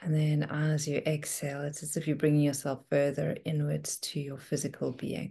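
Soft-spoken and somewhat breathy, a woman with a very deep, low pitch and a warm, dark, mellow tone speaks in a monotone, flat intonation with hardly any pauses. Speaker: meditation and wellness coach. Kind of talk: gently guided breathing meditation, soothing step-by-step invitations. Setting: video call. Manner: slow, soft and unhurried, with long calming pauses; warm, nurturing and softly encouraging. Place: home room. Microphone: video call.

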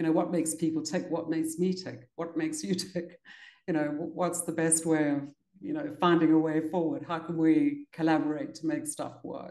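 A woman's dark, mellow, fairly low voice in a flat monotone at a moderate pace, with audible room echo and a quiet background. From South Africa, Cape Town. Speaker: leadership consultant and author; interview guest. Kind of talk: interview. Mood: warm, smiling. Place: home room. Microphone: video call.

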